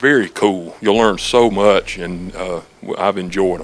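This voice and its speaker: A man with an American accent uses an ordinary speaking voice at a fairly low pitch and a fairly slow pace. His intonation stays fairly even while his loudness swings widely. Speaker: music store staff. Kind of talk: infomercial interview answer. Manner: casual, friendly.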